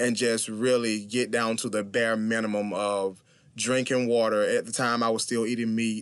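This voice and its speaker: The speaker is a man with a Southern US accent at medium pitch. He talks at a moderate pace in a monotone, flat intonation. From US South, small-town South Carolina. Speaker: vegan bodybuilder and motivational speaker. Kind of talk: interview.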